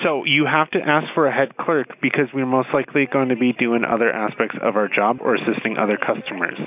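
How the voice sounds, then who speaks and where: A man at medium pitch talks with ordinary pitch variation and very even loudness, with hardly any pauses. Noticeable background noise runs underneath. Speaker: store employee, call recipient. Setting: phone call.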